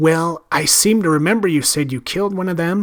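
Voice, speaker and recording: A man does a put-on character voice at a high pitch, talking at a fairly quick pace with ordinary pitch variation. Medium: read story.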